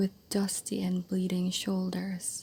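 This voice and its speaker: The speaker is soft-spoken with a gentle tone. Delivery is very slow. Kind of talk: soft-spoken ASMR book reading for sleep. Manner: soft-spoken, gentle.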